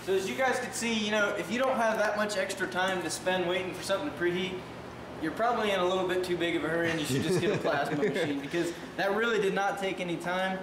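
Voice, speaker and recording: Amid noticeable background noise and audible room echo, the speech comes at a very fast pace with ordinary pitch variation. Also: man, high pitch for a man. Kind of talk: tutorial. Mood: casual, joking. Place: workshop. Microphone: camera far.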